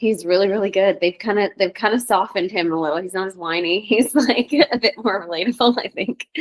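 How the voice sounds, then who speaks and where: Hardly pausing at all, a woman with an unremarkable speaking voice moves at a fairly quick pace in a medium pitch with ordinary pitch variation, the sound dry and close with no echo. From Canada. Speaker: voice actor. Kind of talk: casual interview.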